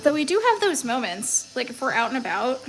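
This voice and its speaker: With music playing in the background, a woman talks very fast at a high pitch. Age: 30s. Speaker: crafts livestreamer. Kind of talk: casual livestream chat while tattooing. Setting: live stream.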